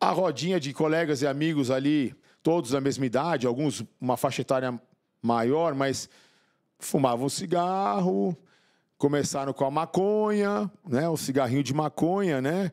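A man's fairly high voice at a fairly slow pace, with ordinary pitch variation against a quiet background. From São Paulo, Brazil. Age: 50s. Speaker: motivational speaker and author, former drug addict; podcast guest. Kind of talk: interview testimony. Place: studio. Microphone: studio mic.

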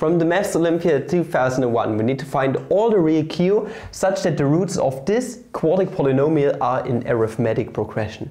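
With lively intonation and very even loudness, a fairly high-pitched man talks at a moderate pace with hardly any pauses. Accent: German. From Germany. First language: German. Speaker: maths YouTuber. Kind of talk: tutorial. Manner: animated. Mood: playful, joking. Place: classroom. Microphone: lapel.

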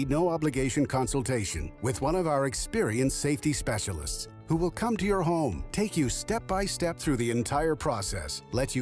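With music in the background, a man speaks at a moderate pace in a fairly high pitch, his voice moving through very wide pitch swings. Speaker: announcer. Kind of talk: TV commercial read.

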